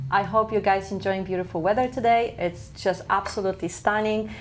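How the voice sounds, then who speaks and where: Over noticeable background noise, a woman with a Polish accent talks at a fairly quick pace. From Poland. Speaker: community TV host. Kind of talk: casual talk show host.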